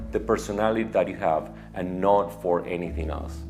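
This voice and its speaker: A man talks in a very deep, low voice while music plays in the background. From Argentina. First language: Spanish. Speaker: media executive. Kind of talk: personal story to camera.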